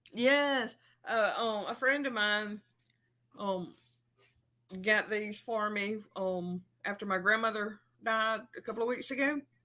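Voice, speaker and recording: In an Alabama accent, a woman with a fairly high pitch and a bright, sharp tone talks at a fairly slow pace, using ordinary pitch variation and long, frequent pauses. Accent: Alabama accent, recognizable. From Alabama, US South. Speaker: livestream host. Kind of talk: casual chat. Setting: livestream.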